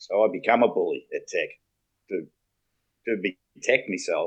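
With an Australian accent, the man talks. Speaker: former local football player and coach. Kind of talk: casual chat. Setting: video call.

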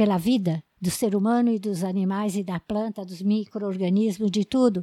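Recorded dry and close with no echo against a silent background on a very clean recording, a woman with a dark, mellow tone and medium pitch speaks at a moderate pace with fairly even intonation. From São Paulo state, Brazil (raised in São Roque). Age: 80s. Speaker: agronomist. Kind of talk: life story interview.

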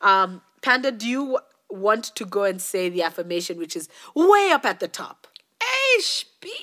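Using an unremarkable speaking voice, a woman talks at a fairly slow pace and medium pitch, with lively intonation and big swings in loudness. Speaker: podcast co-host. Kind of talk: casual chat.

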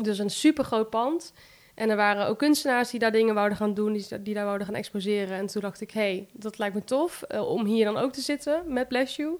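A woman speaks at a fairly quick pace with a fairly high pitch and ordinary pitch variation. The recording is very clean with a silent background. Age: 20s. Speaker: plant shop owner. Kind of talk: interview. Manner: hesitant, many fillers.

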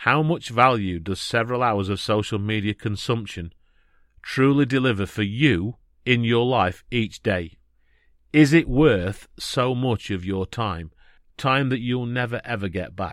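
Speaking fairly slowly at medium pitch, a man uses a plain, everyday voice with ordinary pitch variation. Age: 50s. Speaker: podcast host, life coach. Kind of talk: solo podcast monologue.

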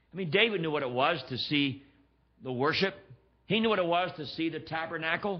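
Speaking at a fairly quick pace, a man with an American accent has an ordinary speaking voice, fairly high in pitch with ordinary variation. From Pennsylvania, US. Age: 60s. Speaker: guest preacher. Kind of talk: sermon. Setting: church.

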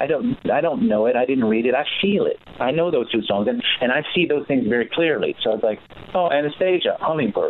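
Through noticeable background noise, a man speaks at a fairly quick pace with very even loudness and very wide pitch swings. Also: fairly high pitch for a man. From Los Angeles, US. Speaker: musician's son, music guest. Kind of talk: interview. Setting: phone call.

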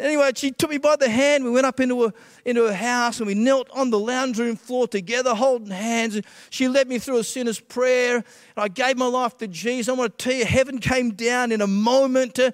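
The speaker has an Australian accent and fairly even intonation. The sound is dry and close, without echo. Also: man, extremely high pitch for a man. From Western Australia (Perth), born in Scotland. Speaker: pastor. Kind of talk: testimony. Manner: hesitant, many filler uhs.

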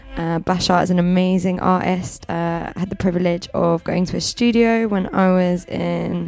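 A woman's fairly low, monotone, flat voice at a moderate pace with hardly any pauses, over background music. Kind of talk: radio DJ patter.

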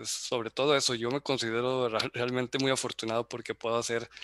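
The man's voice is medium in pitch, with a bright, sharp tone. He keeps a moderate pace in a dry, close sound with no echo. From Mexico, Zacatecas. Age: 30s. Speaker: athlete and engineer. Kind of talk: casual chat. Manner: halting.

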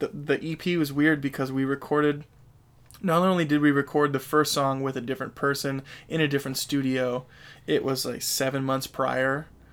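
In a very clean recording with a silent background, a man with an American accent speaks at a moderate pace with fairly even intonation. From Sacramento area, California. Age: 20s. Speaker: guitarist and vocalist in a metal band. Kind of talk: casual interview chat. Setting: in-person studio conversation. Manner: casual, filler-heavy, self-deprecating.

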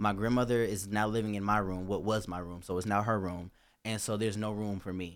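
This man talks at a fairly quick pace. His pitch is fairly low. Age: 20s. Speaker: recent college graduate. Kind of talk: casual chat. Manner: animated.

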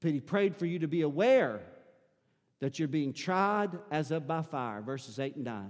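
A man with a Southern US accent speaks at a fairly slow pace with a fairly high pitch and very wide pitch swings, in a very clean recording with a silent background. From US South. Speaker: pastor. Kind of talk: sermon. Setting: church.

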